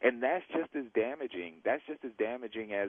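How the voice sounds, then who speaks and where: Speaking fairly quickly with lively intonation, the man has an ordinary speaking voice. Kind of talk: radio interview answer. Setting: phone line.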